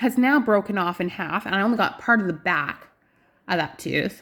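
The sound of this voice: Her tone fairly bright, a woman speaks at a moderate pace.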